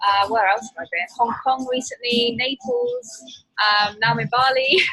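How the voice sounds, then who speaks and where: Against background music, a woman with a British accent speaks at a high pitch and moderate pace with fairly even intonation. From UK. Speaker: online nutrition coach. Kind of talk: podcast interview. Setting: remote call from a spa in Bali.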